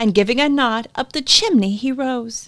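In a very clean recording with a silent background, a woman speaks at a high pitch and a moderate pace with lively intonation. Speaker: returning guest, co-reader. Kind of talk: dramatic poem reading, taking turns by stanza.

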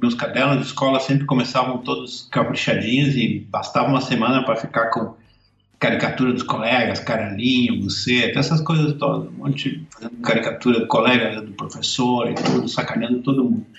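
This is a plain, everyday voice. It moves at a fairly quick pace with fairly even intonation. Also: man, medium pitch for a man. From southern Brazil, Caxias do Sul, Rio Grande do Sul. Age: 50s. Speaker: cartoonist. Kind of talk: casual interview.

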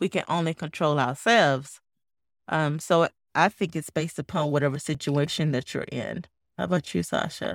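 Over a silent background in a very clean recording, a woman with a very deep, low voice speaks at a moderate pace with vocal fry and ordinary pitch variation. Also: dry, close sound with no echo. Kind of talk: educational podcast discussion.

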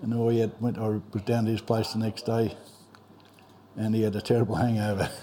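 A man speaks in a rural Australian accent with monotone, flat intonation and very even loudness. His pace is fairly quick, broken by long, frequent pauses. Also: medium pitch for a man. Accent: broad rural Australian. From Australia, rural Victoria (Trentham). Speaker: local old-timer. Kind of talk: casual reminiscing interview. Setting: pub.

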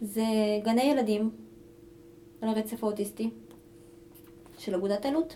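Over noticeable background noise, a woman with a fairly high pitch and ordinary pitch variation speaks at a moderate pace with long, frequent pauses. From Israel, Ashkelon (immigrated at age 3). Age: 30s. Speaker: kindergarten aide and hostel counselor. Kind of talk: casual interview.

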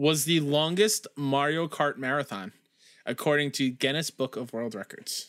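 A man with a fairly high pitch speaks in a bright, sharp tone. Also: very clean recording, silent background. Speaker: podcast host. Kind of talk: casual chat.

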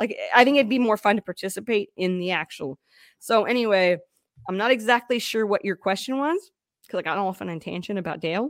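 With a normal speaking voice, a woman talks fairly quickly at a medium pitch with lively intonation, in a very clean, dry, close recording with no echo and a silent background. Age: 30s. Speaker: podcast host being interviewed. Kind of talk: casual interview chat.

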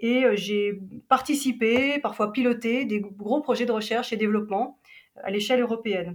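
A normal speaking voice from a woman, fairly high in pitch, at a moderate pace with fairly even intonation. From Switzerland, Geneva. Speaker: travel agency operations director. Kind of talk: interview.

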